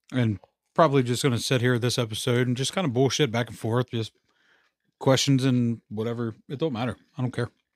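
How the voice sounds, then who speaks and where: A man's medium-pitched, unremarkable speaking voice with fairly even intonation, dry and close with no echo. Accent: American. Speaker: podcast host. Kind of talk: casual chat. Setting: studio.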